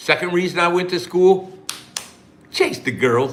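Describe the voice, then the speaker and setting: A man with an American accent speaks at a high pitch. Audible room echo and noticeable background noise fill the recording. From US Midwest, Ohio (Lima). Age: 60s. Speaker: online business promoter. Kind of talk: live stream chat. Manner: casual, long-winded.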